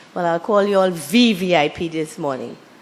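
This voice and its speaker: Noticeable background noise surrounds a woman talking. She goes at a fairly quick pace with ordinary pitch variation. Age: 60s. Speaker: motivational speaker. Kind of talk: seminar presentation. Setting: workshop with audience.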